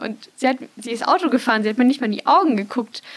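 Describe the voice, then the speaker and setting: High-pitched woman's voice with ordinary pitch variation and noticeable background noise. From Munich, Bavaria. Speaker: marketing student and trainee. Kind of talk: casual chat.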